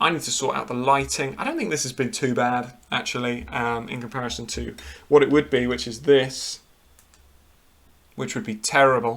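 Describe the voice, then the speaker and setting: A British-accented man at medium pitch, moderate pace, fairly even intonation and big swings in loudness. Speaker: football show host. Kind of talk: live stream commentary. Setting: live stream at home.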